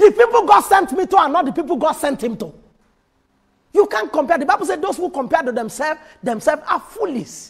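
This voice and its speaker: A man speaks at an extremely high pitch and a very fast pace. His pitch swings very widely over a quiet background. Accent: Nigerian. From Nigeria. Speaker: pastor. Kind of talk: sermon. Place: church. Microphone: lapel.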